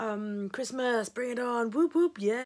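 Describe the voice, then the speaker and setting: At a fairly slow pace, a woman with an English accent speaks at a fairly high pitch with ordinary pitch variation. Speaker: stationery vlogger. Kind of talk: casual vlog.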